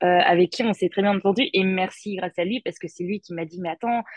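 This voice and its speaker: A woman talks at a medium pitch in a normal speaking voice. Her intonation stays fairly even. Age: 20s. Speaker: expatriate. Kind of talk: interview.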